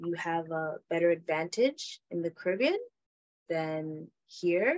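Here is a woman with a plain, everyday voice. Her pitch shows ordinary variation. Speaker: podcast host. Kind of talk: casual interview chat.

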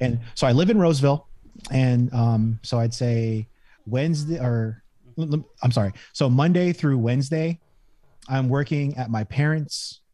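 A man speaks in a Californian accent at a medium pitch with ordinary pitch variation. His tone is dark and mellow and somewhat breathy. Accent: Californian American English. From Northern California. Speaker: entrepreneur. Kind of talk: casual chat.

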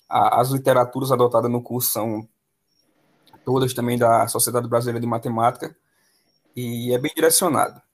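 Here a man talks at a moderate pace and a medium pitch. His intonation is flat and monotone, broken by long, frequent pauses. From Pernambuco interior, Brazil. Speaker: math teacher. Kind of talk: casual interview.

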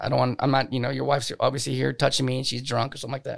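A man's voice carries vocal fry on a very clean recording with a silent background. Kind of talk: casual chat, DJ/emcee-style banter. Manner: animated, playful emcee patter, crowd-hyping and cracking jokes; brash, cocky, loud, swears freely.

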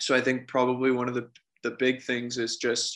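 A man's bright, sharp voice at a medium pitch comes through in a very clean recording with a silent background. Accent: Canadian. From small-town Ontario, Canada. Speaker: para ice hockey player. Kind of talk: interview. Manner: halting, many fillers.

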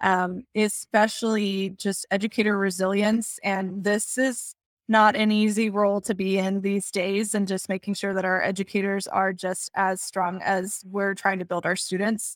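The speech moves at a moderate pace with hardly any pauses. The intonation is monotone and flat. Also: woman, medium pitch for a woman. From Texas. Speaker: educational technology coordinator. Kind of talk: interview conversation. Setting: video call.

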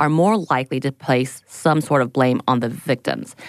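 A woman at a moderate pace, with a dry, close sound, no echo and a quiet background. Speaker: podcast host. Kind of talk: reading research notes.

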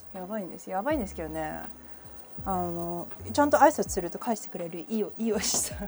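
Lively intonation and big swings in loudness mark a woman talking at a very fast pace with a medium pitch. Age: 30s. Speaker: podcast host. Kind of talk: casual solo chat. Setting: home kitchen.

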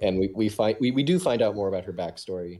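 At a fairly quick pace, a man speaks with a fairly low pitch and a dark, mellow tone. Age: 20s. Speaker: podcast co-host and writer. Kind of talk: casual chat. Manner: halting, repeats words.

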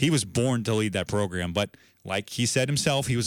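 Talking fairly quickly, a man has an unremarkable speaking voice and his pitch moves in an ordinary way. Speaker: sports radio host. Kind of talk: sports podcast show recap and commentary. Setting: studio.

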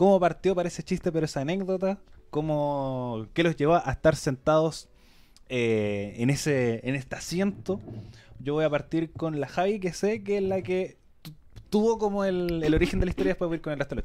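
A man with a dark, mellow tone speaks at a fairly high pitch and a moderate pace, his intonation lively. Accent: Chilean. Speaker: radio producer hosting a podcast episode. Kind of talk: live podcast panel chat. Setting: radio studio, streamed live.

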